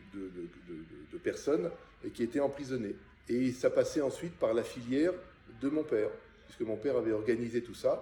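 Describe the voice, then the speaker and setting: With long, frequent pauses, a man talks at a moderate pace. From France, Paris. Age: 60s. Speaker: interviewee, son of a Czech émigré. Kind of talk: oral history interview. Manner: halting, many hesitations.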